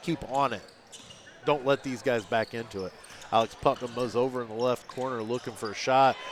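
A man talks at a fairly quick pace with fairly even intonation. Noticeable background noise sits behind him. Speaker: radio play-by-play announcer. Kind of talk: live sports commentary, rapid-fire play-by-play calling each pass, drive and shot. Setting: high school gym, radio broadcast.

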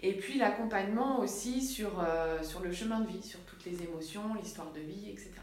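Amid noticeable background noise, a woman talks at a moderate pace with hardly any pauses, her medium pitch showing ordinary variation. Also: big swings in loudness. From France, Sarthe. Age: 30s. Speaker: naturopath. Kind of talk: interview. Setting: her office.

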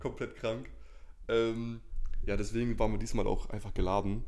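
Man with a fairly low, dark, mellow voice, monotone, flat intonation and moderate pace, with audible room echo. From northern Germany (Lower Saxony, Cloppenburg). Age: 20s. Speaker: natural bodybuilder and student. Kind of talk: casual interview chat. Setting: in the same room, sharing one microphone.

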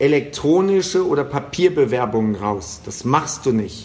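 Talking at a fairly slow pace, a man with a fairly high pitch is heard through noticeable background noise. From western Germany. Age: 50s. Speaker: sales trainer. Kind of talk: interview. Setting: remote call.

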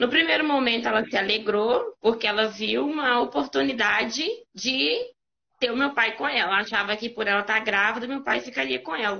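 A plain, everyday voice from a woman, fairly high and fairly quick, with lively intonation. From Brazil, Minas Gerais interior (Caeté). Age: 20s. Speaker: guest sharing life testimony. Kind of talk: testimony.

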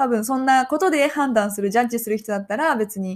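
A woman with a Japanese accent on a very clean recording against a silent background. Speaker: podcast co-host. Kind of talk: casual bilingual chat.

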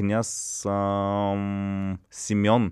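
A man's fairly low voice has a dark, mellow tone and a dry, close sound with no echo. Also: very clean recording, silent background. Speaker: comedian. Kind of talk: casual chat.

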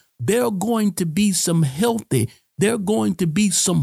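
A man speaks in an animated tone with very wide pitch swings. Music plays in the background, and the sound is dry and close with no echo. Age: 40s. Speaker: pastor. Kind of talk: sermon-style podcast teaching.

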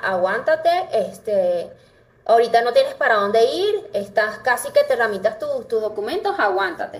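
Noticeable background noise around a woman's moderate-paced speech. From Venezuela. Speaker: dentist. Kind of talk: interview conversation.

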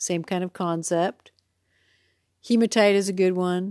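A woman's fairly low voice with a dark, mellow tone, fairly even intonation and a fairly slow pace, recorded dry and close with no echo, very clean and against a silent background. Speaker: wellness podcaster. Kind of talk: casual monologue. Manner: unscripted, loose.

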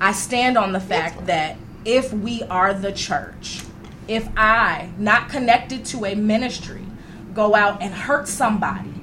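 The tone is animated, with ordinary pitch variation. Noticeable background noise runs underneath. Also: woman. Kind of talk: casual chat. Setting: studio.

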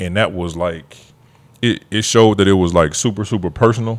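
A man's low-pitched voice at a moderate pace

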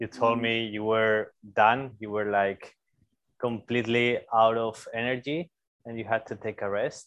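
With a Spanish accent, a man speaks at a moderate pace and medium pitch in a monotone, flat intonation. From Spain, Zaragoza. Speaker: podcast host, bike workshop owner. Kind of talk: casual interview.

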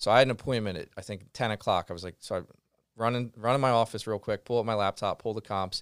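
A man talks at a fairly quick pace with ordinary pitch variation. The sound is dry and close, with no echo. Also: very clean recording, silent background. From Pennsylvania, Philadelphia suburbs. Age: 30s. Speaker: real estate investor. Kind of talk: podcast interview. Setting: studio.

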